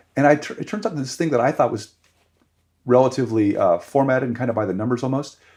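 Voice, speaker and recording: A man with a Californian accent, medium pitch, ordinary pitch variation and a very fast pace. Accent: Californian American English. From Los Angeles, California. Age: 60s. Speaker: surf writer and historian. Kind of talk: casual podcast interview. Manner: halting, many restarts.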